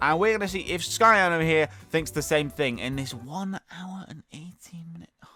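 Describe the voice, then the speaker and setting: Music in the background behind an animated man at a fairly quick pace. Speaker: gaming YouTuber. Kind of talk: reaction commentary. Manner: fast.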